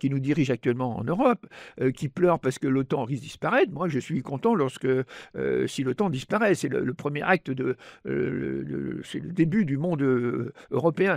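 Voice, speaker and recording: Over a quiet background, a man with vocal fry speaks at a moderate pace with ordinary pitch variation, in a dry, close sound with no echo. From France. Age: 80s+. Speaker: economist and author. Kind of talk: interview. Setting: studio. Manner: halting, many repetitions and hesitations; animated.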